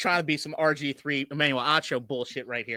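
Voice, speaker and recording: A man talks loudly at a fairly high pitch, his tone bright and sharp. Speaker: sports podcast co-host. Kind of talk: casual chat. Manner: animated, yells at times.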